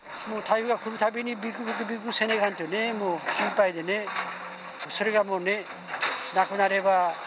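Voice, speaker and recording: At a moderate pace, a man speaks in a dry sound with no echo over loud background noise. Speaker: flood-affected resident. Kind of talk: interview answer. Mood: emotional, relieved yet worried. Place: home room. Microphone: handheld.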